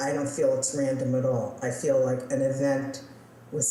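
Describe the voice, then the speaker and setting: Over noticeable background noise and audible room echo, a woman speaks with a very deep, low pitch and fairly even intonation. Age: 60s. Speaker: interviewee sharing testimony. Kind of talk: testimony. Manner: halting, with fillers.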